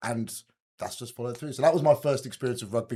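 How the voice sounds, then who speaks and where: A man's medium-pitched voice comes through somewhat breathy. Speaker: rugby coach. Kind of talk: podcast interview. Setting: podcast recording. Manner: fluent storytelling.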